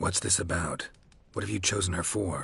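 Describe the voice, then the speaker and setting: A man uses a put-on character voice at a moderate pace. It is raspy, with a very deep, low pitch. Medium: video game. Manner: terse, dry.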